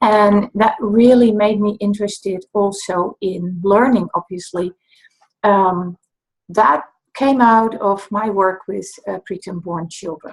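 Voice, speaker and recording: Somewhat breathy, a woman speaks at a very slow pace with a slight Dutch accent. Her medium pitch holds fairly even intonation. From Netherlands. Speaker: dyscalculia tutor. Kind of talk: talk to camera, introduction and explanation.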